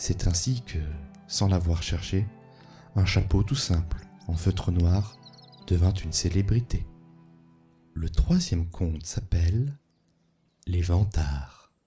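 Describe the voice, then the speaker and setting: A man's very deep, low voice at a very slow pace, with ordinary pitch variation, long, frequent pauses and music in the background. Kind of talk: sleep story reading of folk tales, ASMR. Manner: soft-spoken, calm.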